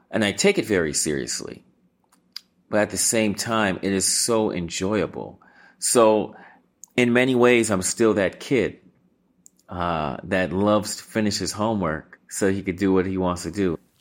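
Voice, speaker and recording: An unremarkable speaking voice, with ordinary pitch variation, keeps a moderate pace on a very clean recording against a silent background. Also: man, fairly low pitch for a man. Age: 40s. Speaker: musician and producer. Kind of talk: interview.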